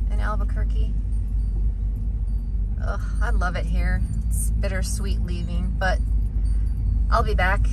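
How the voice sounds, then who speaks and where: The speech moves at a moderate pace with long, frequent pauses. The sound is dry with no echo, under loud background noise. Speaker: solo van-life vlogger. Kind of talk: casual vlog chat. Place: car. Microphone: phone near.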